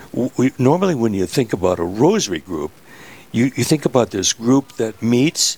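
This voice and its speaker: With an Upper Midwest accent, a man speaks at a medium pitch and a moderate pace, his lively intonation caught in a dry, close sound with no echo. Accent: Upper Midwest American. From US Midwest, Minnesota. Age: 80s+. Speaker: rosary maker, church volunteer. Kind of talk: radio interview. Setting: host's office, live radio.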